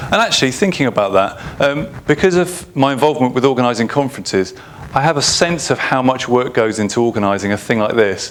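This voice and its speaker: Over noticeable background noise, a man talks at a very fast pace. His intonation is lively and his loudness very even. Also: medium pitch for a man. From England. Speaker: UX consultant and conference speaker. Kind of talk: conference talk. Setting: stage with audience.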